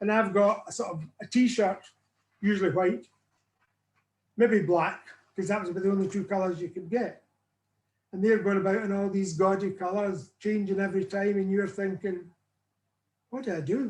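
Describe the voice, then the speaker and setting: A man with a Northern Irish accent speaks at a high pitch and a moderate pace. His intonation is fairly even, and he takes long, frequent pauses. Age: 70s. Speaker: weight loss client sharing his story. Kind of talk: interview testimony.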